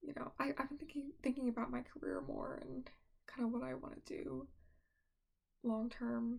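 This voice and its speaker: Soft-spoken and relaxed in tone, a woman talks at a moderate pace. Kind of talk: casual soft-spoken ramble to camera. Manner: soft-spoken, relaxed.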